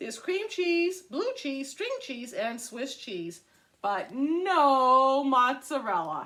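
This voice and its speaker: At a very slow pace, a woman puts on a character voice with a high pitch. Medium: read story.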